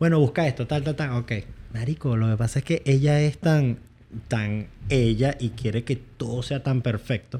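Somewhat breathy, with a dark, mellow tone, a man speaks at a medium pitch and moderate pace with ordinary pitch variation. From United States, Venezuelan family. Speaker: YouTuber. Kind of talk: casual chat.

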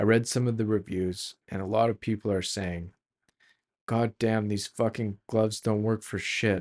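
A man with a Canadian accent and an unremarkable speaking voice, fairly low in pitch, at a fairly slow pace, in a dry, close sound with no echo. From Canada, Calgary. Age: 30s. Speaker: solo podcaster. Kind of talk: solo monologue and reading aloud. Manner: casual with many fillers.

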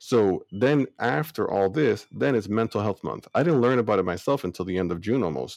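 Using vocal fry and very wide pitch swings, a man with a fairly low pitch talks at a moderate pace with hardly any pauses. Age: 30s. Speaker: podcast co-host. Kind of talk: casual chat.

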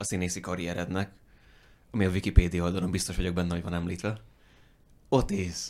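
A man's very deep, low voice comes across in a monotone, flat intonation. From rural Hungary. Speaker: podcast host. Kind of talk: casual interview.

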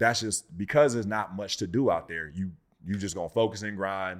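Captured in a very clean recording with a silent background, a man with an American accent and an unremarkable speaking voice talks in a fairly low pitch with ordinary pitch variation. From Inland Empire, Southern California. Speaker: actor. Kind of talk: casual chat.

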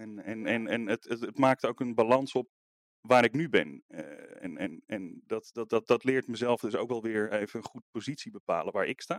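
The recording has a dry, close sound with no echo as a man talks at a moderate pace with big swings in loudness. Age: 30s. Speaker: visual artist and art teacher. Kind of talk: interview. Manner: hesitant, many fillers and repetitions.

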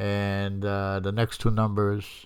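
A man speaks at a very slow pace in a fairly low pitch. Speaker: salsa radio DJ. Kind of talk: relaxed radio DJ patter between salsa tracks. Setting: studio. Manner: halting, filler-heavy, lots of uh and um; laid-back, friendly and conversational.

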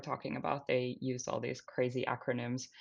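The speaker has a Finnish accent. The pace is fairly quick. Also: woman, quiet background. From Finland. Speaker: climate tech startup founder and CEO. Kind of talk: interview. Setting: remote recording.

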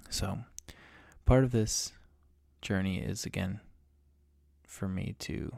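A man talks in a fairly low pitch. His intonation is lively. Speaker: podcast host, amateur golfer. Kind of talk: solo monologue podcast. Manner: halting, many repeated words and fillers; meandering.

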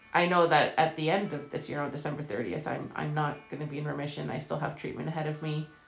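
Very deep, low female voice at a very fast pace with hardly any pauses and fairly even intonation, over noticeable background noise. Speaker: cancer patient and translator. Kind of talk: casual interview. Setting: lying in bed at home.

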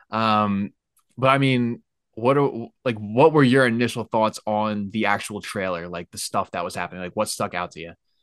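Recorded dry and close with no echo against a quiet background, a man with an American accent speaks at a moderate pace and fairly low pitch, with ordinary pitch variation and big swings in loudness. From Pennsylvania, Lehigh Valley. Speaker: podcast host. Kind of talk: casual chat. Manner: animated.

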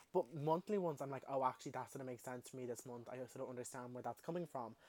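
Talking very fast in an animated tone, a man with an Irish accent speaks at medium pitch. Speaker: podcast host. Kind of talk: casual monologue.

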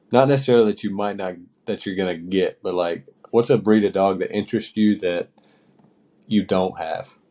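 In a North Carolina accent, a man speaks fairly quickly with a fairly low pitch and a dark, mellow tone. His intonation is fairly even, broken by long, frequent pauses. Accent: US Southern (North Carolina). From small-town North Carolina. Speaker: podcast co-host and hunting guide. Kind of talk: casual chat.

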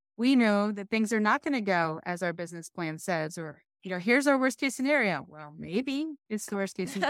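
The recording is very clean, with a silent background. The voice moves at a fairly quick pace, with very wide pitch swings and big jumps in loudness. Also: woman, medium pitch for a woman. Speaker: podcast co-host. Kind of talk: casual chat. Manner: excitable.

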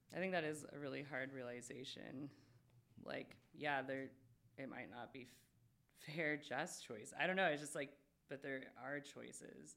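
Using an American accent, a woman with a very deep, low voice and vocal fry speaks at a moderate pace with fairly even intonation and long, frequent pauses. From Spokane, Washington. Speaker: podcast host. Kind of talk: casual chat. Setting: studio.

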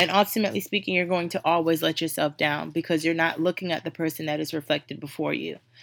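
Using vocal fry, a woman speaks very fast at a fairly low pitch. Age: 20s. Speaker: podcast host. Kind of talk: casual motivational monologue. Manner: animated.

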